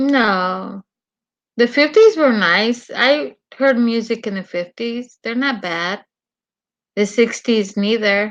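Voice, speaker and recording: A woman's fairly high voice in a Mexican accent, very slow in pace with long, frequent pauses and ordinary pitch variation. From Mexico. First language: Spanish. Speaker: live streamer. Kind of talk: casual chat.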